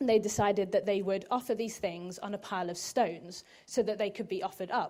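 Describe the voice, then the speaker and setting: Dark, mellow tone from a woman at medium pitch, fairly quick pace and ordinary pitch variation. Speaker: preacher. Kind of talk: sermon.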